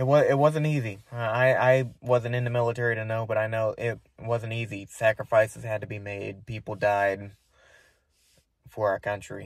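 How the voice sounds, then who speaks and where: In a very clean recording with a silent background, a man with an American accent speaks at a moderate pace and medium pitch with fairly even intonation. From United States. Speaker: vlogger. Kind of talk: casual monologue to camera. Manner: halting, many fillers.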